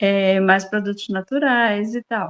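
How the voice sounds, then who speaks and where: The speaker is a woman with a fairly high pitch. She talks at a very slow pace. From Brazil, Bahia (rural interior). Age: 60s. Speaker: farmer and interviewee. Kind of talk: interview.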